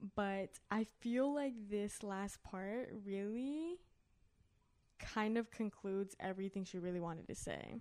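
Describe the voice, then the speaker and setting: An unremarkable speaking voice from a woman at medium pitch, fairly slow, with ordinary pitch variation. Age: 20s. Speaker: podcast co-host. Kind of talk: casual chat.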